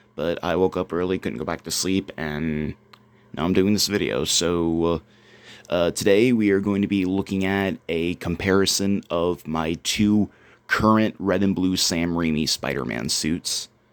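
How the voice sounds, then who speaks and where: Quiet and very deep, low in pitch, a man speaks at a fairly slow pace with ordinary pitch variation. The recording is very clean with a silent background. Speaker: cosplay youtuber. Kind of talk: casual product review. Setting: at home.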